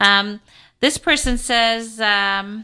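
A woman with an American accent speaks in a fairly high pitch with ordinary pitch variation. Her tone is animated, bright, and sharp, and the background is quiet. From Kansas City, US Midwest. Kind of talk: pledge drive radio interview. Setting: radio studio.

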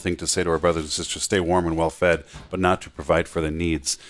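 A man with a very deep, low pitch at a very fast pace, in a monotone, flat intonation. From not from Atlanta area. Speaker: radio host. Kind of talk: radio interview and pledge drive. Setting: radio studio. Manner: fast talker.

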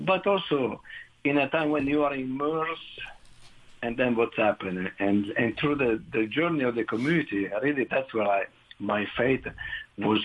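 A man speaks at a moderate pace with an Italian accent. Noticeable background noise sits behind him. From northern Italy. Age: 60s. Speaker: director of an addiction recovery community. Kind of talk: testimony.

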